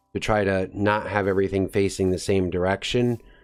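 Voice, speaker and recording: Music plays in the background behind a man. His voice is fairly low-pitched and moves at a moderate pace. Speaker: gaming video creator. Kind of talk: gameplay commentary. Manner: casual.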